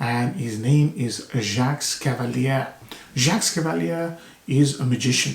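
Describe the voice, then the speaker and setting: A soft-spoken man talks at a fairly slow pace with a fairly high pitch and lively intonation, with noticeable background noise behind him. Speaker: fragrance reviewer. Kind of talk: product review. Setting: video recording to camera.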